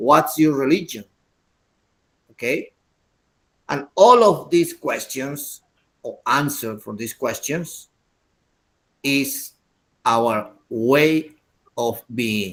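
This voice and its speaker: The speaker has an Andean accent and a lively intonation. The pace is very slow, with long, frequent pauses. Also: man, fairly high pitch for a man. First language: Quechua. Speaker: English teacher. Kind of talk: lecture.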